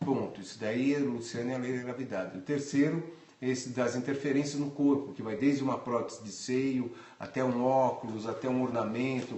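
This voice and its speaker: Amid noticeable background noise and audible room echo, a man speaks at a moderate pace with a medium pitch and fairly even intonation. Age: 60s. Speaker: photographer. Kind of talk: interview. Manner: halting, repetitive.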